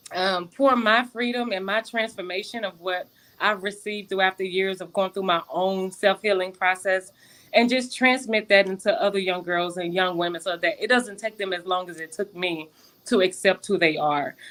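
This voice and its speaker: A woman talks at medium pitch and moderate pace, her pitch variation ordinary. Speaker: nonprofit founder. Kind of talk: interview.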